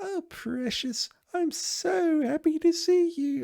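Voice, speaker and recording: A put-on character voice, female-sounding and squeaky, is pitched extremely high. It moves at a very slow pace. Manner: sweet and delighted.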